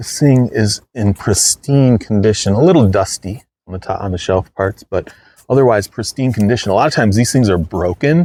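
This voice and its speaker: Here a man speaks at a fairly low pitch with a dark, mellow tone and lively intonation. His pace is fairly quick, and the sound is dry and close with no echo. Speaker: thrift reseller YouTuber. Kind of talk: casual haul video talk. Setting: indoors, hot room. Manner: fast; casual with fillers.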